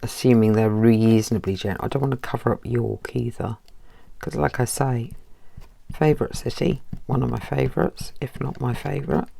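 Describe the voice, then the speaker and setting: A woman speaks at a moderate pace with a very deep, low pitch and lively intonation. Noticeable background noise runs behind her. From northern England, Barnard Castle, County Durham. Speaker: crafting youtuber. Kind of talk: crafting tutorial chat. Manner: casual, chatty.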